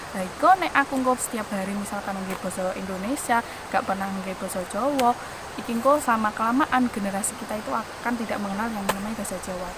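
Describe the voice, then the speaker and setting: A woman with a strong Javanese accent and a fairly high pitch speaks at a very fast pace with ordinary pitch variation over noticeable background noise. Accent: thick rural Javanese (medok). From Central Java, Wonogiri regency. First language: Javanese (speaking Indonesian). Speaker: podcaster. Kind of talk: solo podcast monologue.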